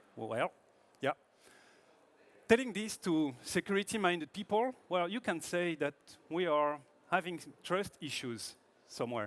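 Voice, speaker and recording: A man with a French accent, high-pitched with lively intonation, at a fairly slow pace with long, frequent pauses. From France. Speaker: product manager presenting at a tech conference. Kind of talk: conference talk. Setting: stage with audience.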